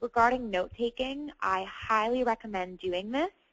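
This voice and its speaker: A plain, everyday voice moves at a moderate pace with ordinary pitch variation, the sound dry and close with no echo against a quiet background. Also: woman. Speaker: online course trainer. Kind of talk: Q&A webinar session. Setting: webinar. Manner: many filler sounds.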